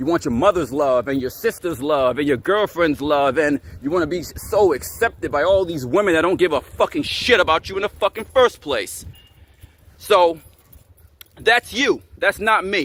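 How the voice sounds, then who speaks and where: Shouting loudly at a high pitch, a man speaks at a moderate pace with lively intonation, the sound dry and close with no echo but with noticeable background noise. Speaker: fitness and self-improvement vlogger. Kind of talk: angry vlog rant to camera. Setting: talking to camera. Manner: loud, yelling; repetitive, emphatic.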